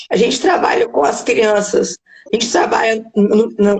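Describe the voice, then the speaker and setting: A woman speaks at a fairly high pitch. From Minas Gerais, Brazil. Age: 50s. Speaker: charity president. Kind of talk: live interview. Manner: halting.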